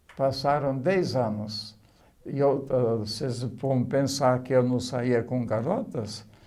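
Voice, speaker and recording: A man speaks very slowly in a dark, mellow tone with ordinary pitch variation, and the room echo is audible. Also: medium pitch for a man. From Poland. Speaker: oral history interviewee. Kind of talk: life story testimony. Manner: halting.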